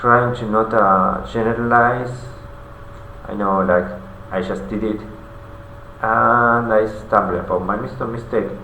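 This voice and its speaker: A fairly slow voice with a non-native accent, ordinary pitch variation, long and frequent pauses, audible room echo and noticeable background noise. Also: man, medium pitch for a man. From non-English-speaking country. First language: not English. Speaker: vlogger. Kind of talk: personal video diary monologue. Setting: alone in front of a camera. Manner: halting, many fillers.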